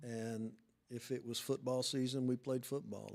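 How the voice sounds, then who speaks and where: A man of medium pitch with an American accent, monotone, flat intonation and a fairly slow pace. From Oklahoma, Ponca City. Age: 60s. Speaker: booster club president. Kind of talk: podcast interview.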